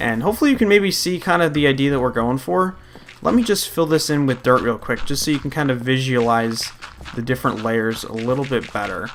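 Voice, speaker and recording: Over noticeable background noise, a man speaks at a medium pitch. His intonation is lively and his pace fairly quick. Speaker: gaming youtuber. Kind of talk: let's play commentary. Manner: casual, rambling with fillers.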